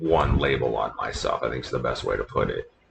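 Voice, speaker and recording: A man talking at a fairly slow pace amid noticeable background noise. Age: 40s. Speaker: livestream gamer and former radio DJ. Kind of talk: casual chat. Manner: low-key, talking low. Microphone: laptop microphone, quality a bit garbage.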